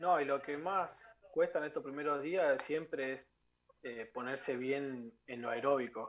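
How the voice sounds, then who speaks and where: A man's normal speaking voice, fairly high in pitch, at a fairly slow pace with ordinary pitch variation. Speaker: professional footballer. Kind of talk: interview.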